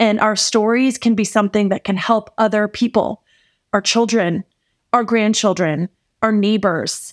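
On a very clean recording with a silent background and a dry, close sound with no echo, a woman uses a normal speaking voice with fairly high pitch and fairly even intonation. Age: 40s. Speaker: podcast host, faith-based mentor. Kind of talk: solo podcast monologue, devotional teaching. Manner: warm, conversational.

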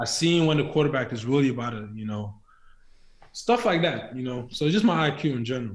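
With audible room echo, a man of medium pitch speaks at a fairly quick pace, his intonation lively. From Nigeria, then Scotland. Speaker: college football player, draft prospect. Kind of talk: interview.

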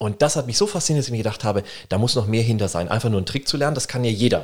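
A man with a medium-pitched voice speaks in an animated tone. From Germany, Würzburg (Lower Franconia). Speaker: business lawyer and author. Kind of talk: interview.

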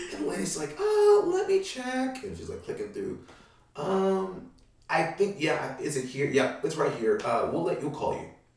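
Moderately paced male speech with noticeable background noise. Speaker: voice actor. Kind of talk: casual chat. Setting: studio.

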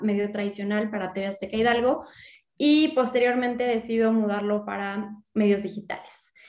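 In an unremarkable speaking voice, a woman talks with fairly high pitch and fairly even intonation. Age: 30s. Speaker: real estate entrepreneur and content creator. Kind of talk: interview.

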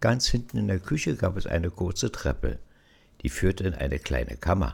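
A man talks at a moderate pace in a very deep, low voice with vocal fry. His pitch swings very widely. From Berlin. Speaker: storyteller. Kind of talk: personal memoir narration.

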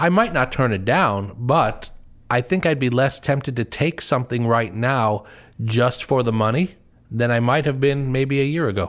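A man with a medium pitch talks at a moderate pace in a normal speaking voice. The recording is very clean, with a silent background. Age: 50s. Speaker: associate pastor and panel host. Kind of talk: personal testimony on a panel show.

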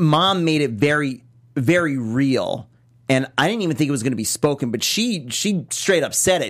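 Pausing long and often, a man with a fairly high pitch speaks at a fairly slow pace in an animated tone with lively intonation. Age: 30s. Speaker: TV recap co-host. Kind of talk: casual chat.

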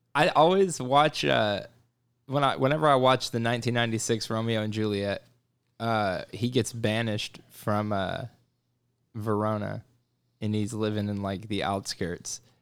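At a moderate pace, a man with a fairly low pitch and ordinary pitch variation takes long, frequent pauses in a very clean recording with a silent background. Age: 30s. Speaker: podcast co-host. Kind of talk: casual chat.

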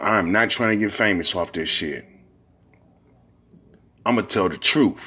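A man speaks with an American accent at a fairly low pitch. His tone is bright and sharp, with ordinary pitch variation.

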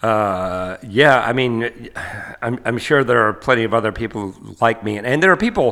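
Speaking with an American accent, a man uses a medium pitch, ordinary pitch variation, a bright, sharp tone and a moderate pace. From US South, Asheville, North Carolina. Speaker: professor. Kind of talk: casual chat.

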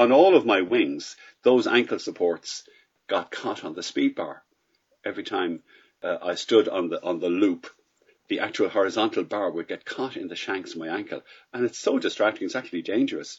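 A man speaks with a Dublin accent. His pace is moderate. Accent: Irish (Dublin). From Ireland, Dublin. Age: 60s. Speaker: paragliding pilot. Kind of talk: casual interview answers.

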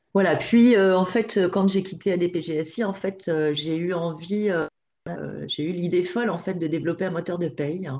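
Fairly low pitch and a dark, mellow tone from a woman, at a fairly slow pace with fairly even intonation. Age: 50s. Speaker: payroll consultant. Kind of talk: interview. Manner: halting.

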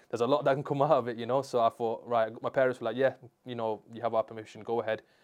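Against a quiet background, a man with a strong Manchester accent speaks at a medium pitch in a monotone, flat intonation. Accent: Manchester (Mancunian), strong. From Manchester, England. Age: 20s. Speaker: sports rehabilitation therapist. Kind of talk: casual interview chat. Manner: casual, slangy.

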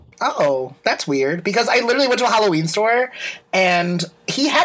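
Noticeable background noise runs under a man's voice. His pitch swings very widely. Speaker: podcast co-host. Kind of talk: casual chat. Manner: fast; loud.

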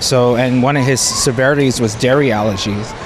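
Flat, monotone intonation comes in an American accent over noticeable background noise. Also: man. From New York City. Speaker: parent and food allergy advocate. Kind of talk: interview. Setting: festival. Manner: halting.

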